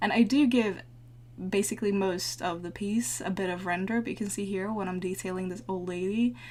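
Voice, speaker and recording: Somewhat breathy, the woman's voice rests at a medium pitch. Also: ordinary pitch variation. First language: not English. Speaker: digital painter, art tutorial maker. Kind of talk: tutorial voice-over. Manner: casual, with frequent hesitations.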